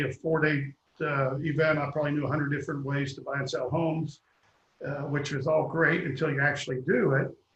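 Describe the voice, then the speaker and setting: A man with a Kentucky accent speaks fast-ish, at a fairly high pitch, in a monotone, flat intonation. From Kentucky, Louisville. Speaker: real estate developer. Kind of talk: interview.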